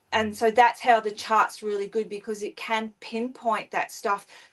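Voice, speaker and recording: A woman talks with an Australian accent. Her pitch sits fairly high. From Queensland, Australia. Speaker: spiritual author and astrologer. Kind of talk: interview. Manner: hesitant, many fillers.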